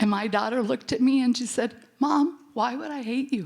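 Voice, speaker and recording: Her pitch high and its variation ordinary, a woman speaks. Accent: American. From US Midwest, rural North Dakota. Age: 70s. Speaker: birth mother and foster mother, conference panelist. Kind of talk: personal testimony at a conference panel. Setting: conference symposium.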